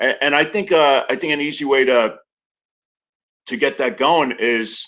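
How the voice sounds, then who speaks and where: The man's fairly high pitch carries a bright, sharp tone and ordinary pitch variation. He keeps a moderate pace against a quiet background. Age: 50s. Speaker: congressional candidate and actor. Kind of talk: interview. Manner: hesitant, many fillers and repetitions.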